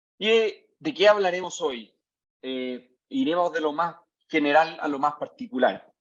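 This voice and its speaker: Lively intonation marks this man's fairly high voice. He speaks in a Chilean accent at a fairly slow pace. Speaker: tech company CEO, mining engineer. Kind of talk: lecture. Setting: video call. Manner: hesitant, many fillers.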